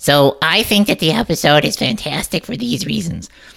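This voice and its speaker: A put-on character voice, raspy and playful in tone, sits at a middle pitch. It moves at a moderate pace. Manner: silly, playful.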